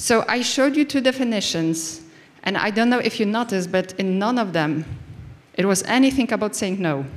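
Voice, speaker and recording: A woman with a non-native accent speaks at a fairly quick pace. Her intonation is lively. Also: medium pitch for a woman. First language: not English. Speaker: conference speaker. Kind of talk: conference talk. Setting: stage with audience. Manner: halting.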